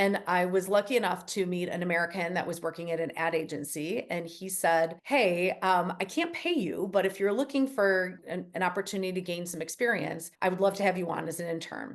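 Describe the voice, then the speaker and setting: A woman with a strong Chicago accent talks at a fairly quick pace with hardly any pauses, her medium pitch showing ordinary variation. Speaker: company CEO. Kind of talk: interview. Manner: casual, conversational.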